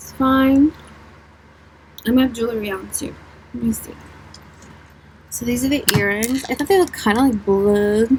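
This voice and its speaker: Soft-spoken and fairly high-pitched, a woman talks at a moderate pace with ordinary pitch variation, big swings in loudness and long, frequent pauses, over noticeable background noise. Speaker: beauty vlogger. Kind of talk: casual makeup tutorial chat.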